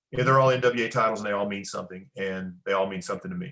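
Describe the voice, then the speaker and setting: Using ordinary pitch variation, a man talks at a fairly low pitch in a bright, sharp tone. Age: 50s. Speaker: pro wrestler. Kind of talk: interview. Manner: halting.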